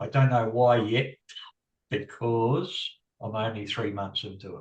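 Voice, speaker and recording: A somewhat breathy man talks at a fairly slow pace. His volume shows big swings in loudness. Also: medium pitch for a man. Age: 60s. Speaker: bus driver and affiliate marketer. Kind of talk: interview. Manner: halting.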